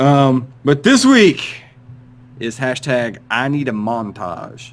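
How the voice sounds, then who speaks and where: Speaking at a very slow pace, a man keeps a medium pitch with ordinary pitch variation. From rural Appalachia. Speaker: podcast host. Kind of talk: casual chat.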